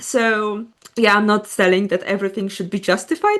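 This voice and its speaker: In a Polish accent, a woman speaks at a moderate pace and a medium pitch. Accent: Polish accent noticeable. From Poland. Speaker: podcast co-host. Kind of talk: casual chat.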